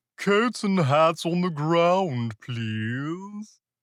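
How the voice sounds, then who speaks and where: Over a quiet background, someone uses a put-on character voice at a middle pitch. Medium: read story. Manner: mooing, sugary.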